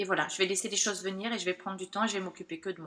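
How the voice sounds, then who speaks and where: The tone is bright and sharp. A woman speaks at medium pitch with fairly even intonation. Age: 40s. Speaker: burnout survivor. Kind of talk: testimony. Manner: halting, many fillers.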